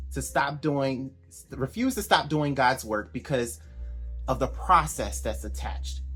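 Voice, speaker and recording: Music in the background, and a man speaking at a moderate pace. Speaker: life coach. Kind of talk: faith-based motivational talk on a group call. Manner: emphatic, repeats key points.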